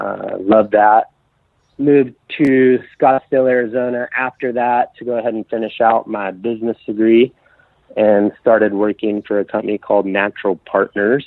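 Speaking with a Texan accent, a man keeps a moderate pace, a medium pitch and fairly even intonation. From West Texas, Amarillo. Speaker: auto detailer, business owner. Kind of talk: casual interview.

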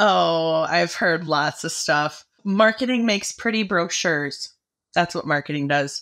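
A woman with a fairly low pitch uses an ordinary speaking voice, talking at a fairly slow pace with ordinary pitch variation in a very clean recording with a silent background. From Michigan, US. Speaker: agricultural marketing manager. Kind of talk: casual interview.

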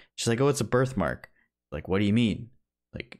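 In a quiet background, a man talks with ordinary pitch variation. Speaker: movie podcast co-host; podcast co-host. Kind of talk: casual chat. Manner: sarcastic-sounding. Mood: enthusiastic, a bit sarcastic. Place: home room. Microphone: video call.

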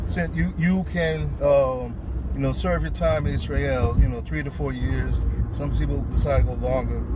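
Loud background noise surrounds a man speaking at a moderate pace. The sound is dry with no echo. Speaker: passenger vlogger. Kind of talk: casual vlog chat. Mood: relaxed, joking. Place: car. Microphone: phone near.

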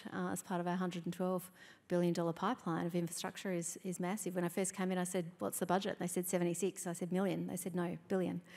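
The voice has an Australian accent and a dark, mellow tone, delivered in a monotone, flat way. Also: woman. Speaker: state government minister; government minister on panel. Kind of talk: onstage interview. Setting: stage with audience. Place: hall. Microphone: handheld.

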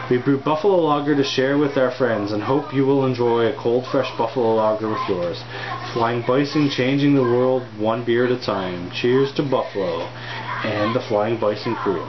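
At a moderate pace and very even loudness, a man talks with ordinary pitch variation against noticeable background noise. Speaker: beer reviewer. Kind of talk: casual review vlog. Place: home room. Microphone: camera far.

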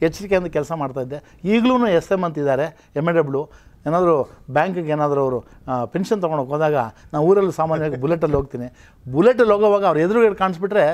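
Lively in intonation, a man speaks at a high pitch. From Karnataka, Kolar district (Bangarapet); Karnataka. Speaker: retired college principal; interview guest. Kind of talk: interview. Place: studio. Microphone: lapel.

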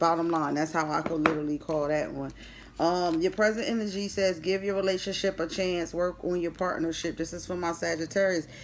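With an American accent, a woman speaks fairly quickly at a fairly low pitch with fairly even intonation, against noticeable background noise. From Philadelphia. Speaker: tarot reader. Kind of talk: tarot reading. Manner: casual. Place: home room. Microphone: phone near.

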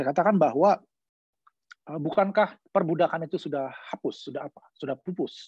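A man speaks at a moderate pace with a high pitch and ordinary pitch variation. The background is quiet, and the sound is dry with no echo. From Indonesia. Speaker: law professor; speaker. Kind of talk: online lecture. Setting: video call. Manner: halting with many fillers. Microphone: video call.

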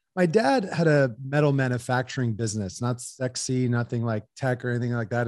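A man with an American accent speaks at a fairly quick pace with ordinary pitch variation. The sound is dry with no echo, over a quiet background. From US, Los Angeles area. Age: 30s. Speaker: entrepreneur. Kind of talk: interview. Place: home room. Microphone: studio mic.

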